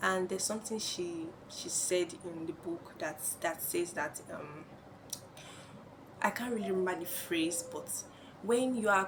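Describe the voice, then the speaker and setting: A woman talks at a fairly slow pace with ordinary pitch variation, long, frequent pauses and noticeable background noise. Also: medium pitch for a woman. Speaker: vlogger. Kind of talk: personal vlog monologue. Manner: halting.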